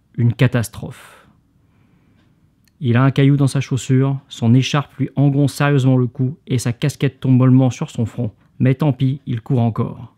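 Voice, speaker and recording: The recording is very clean with a silent background and a dry, close sound with no echo, carrying a man's medium-pitched voice in a dark, mellow tone with monotone, flat intonation. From Hauts-de-France. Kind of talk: sleep reading of a book excerpt.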